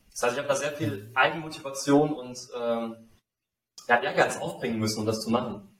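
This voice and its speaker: A man speaks at a fairly quick pace but with long, frequent pauses, and audible room echo around him. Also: medium pitch for a man, ordinary pitch variation. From Saarland, Germany. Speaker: life design mentor, former football coach. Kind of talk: interview.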